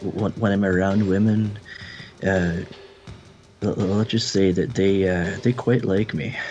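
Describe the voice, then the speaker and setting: With music in the background, a man speaks at a fairly low pitch and very even loudness, his intonation fairly even and broken by long, frequent pauses. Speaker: paranormal radio show co-host. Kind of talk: casual chat. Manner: halting.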